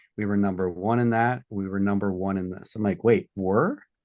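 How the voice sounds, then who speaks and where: An American accent from a man with fairly low pitch, at a moderate pace over a quiet background. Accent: Boston accent, mostly trained out, slips back. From South Boston, Massachusetts. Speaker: entrepreneur and product developer. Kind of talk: podcast interview. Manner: animated storytelling.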